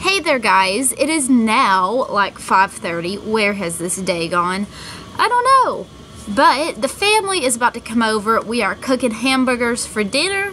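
A woman speaks at a fairly slow pace with an American accent. Her pitch swings very widely over light background noise. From Texas. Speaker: vlogger. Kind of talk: casual vlog monologue. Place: garden. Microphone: phone near.

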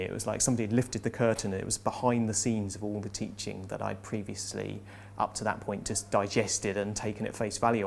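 Over light background noise, a man with a fairly low pitch and vocal fry talks very fast in a flat monotone. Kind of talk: interview answer. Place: classroom. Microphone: lapel.

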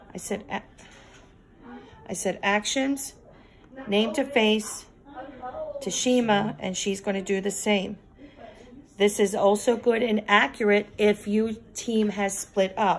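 Noticeable background noise surrounds a woman's voice. She speaks at a fairly slow pace with ordinary pitch variation. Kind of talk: tutorial. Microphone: phone near.

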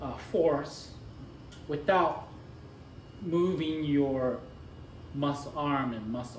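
Very slowly, a man speaks at a fairly high pitch with ordinary variation, with light background noise and audible room echo. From Japan. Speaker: bartender; bartender instructor. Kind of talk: tutorial. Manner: casual, with many fillers and repetitions. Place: bar. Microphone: camera far.

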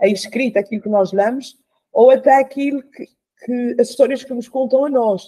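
Over a quiet background, a woman with a high pitch and a dark, mellow tone speaks at a moderate pace with fairly even intonation. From São Miguel, Azores; Azores. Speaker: radio show guest or host. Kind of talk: casual panel discussion. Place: home room. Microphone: video call.

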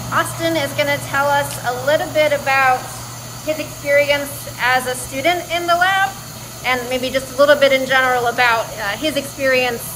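Over noticeable background noise, a woman talks at a moderate pace in a high voice with ordinary pitch variation. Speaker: engineering lecturer. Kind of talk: lecture. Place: factory. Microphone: phone near.

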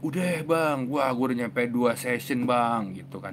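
Noticeable background noise behind a male speaker. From Indonesia. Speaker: mental health author and YouTuber; YouTuber. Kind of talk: live stream talk answering viewer comments. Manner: casual, fast. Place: home room. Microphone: lapel.

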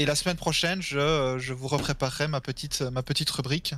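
A man's voice with a bright, sharp tone. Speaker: gaming stream co-host, quiz presenter. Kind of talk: casual chat.

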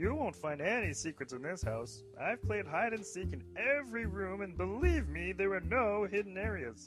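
Clear music plays in the background as a man speaks at a moderate pace. He uses hardly any pauses. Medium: comedy sketch. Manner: genteel, polite, slightly naive.

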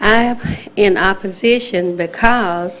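In a room with audible echo, a woman with an Alabama accent speaks at a medium pitch. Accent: Southern US (Alabama). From US South, Alabama. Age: 60s. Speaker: resident speaking at public hearing. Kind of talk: public comment at city council meeting. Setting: city council chamber, at microphone. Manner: halting.

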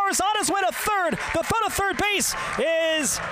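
Over noticeable background noise, a man talks at a moderate pace in a dry recording with no echo. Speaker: baseball play-by-play announcer. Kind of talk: live sports commentary, baseball play-by-play. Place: booth.

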